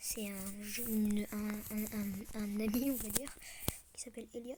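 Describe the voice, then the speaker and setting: The speaker goes at a fairly slow pace, with noticeable background noise. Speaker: gaming youtuber. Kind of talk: casual gameplay commentary. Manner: hesitant, many fillers.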